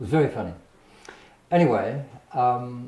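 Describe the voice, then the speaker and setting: There is audible room echo as a man with an Australian accent speaks with ordinary pitch variation. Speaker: painter. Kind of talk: casual storytelling interview. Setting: artist's studio. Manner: halting, with repetitions.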